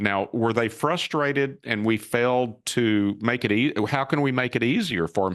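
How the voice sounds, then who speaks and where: A man talks at a moderate pace and medium pitch, with ordinary pitch variation. It is an ordinary speaking voice, set against a quiet background. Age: 60s. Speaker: cybersecurity company founder and CEO. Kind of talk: interview.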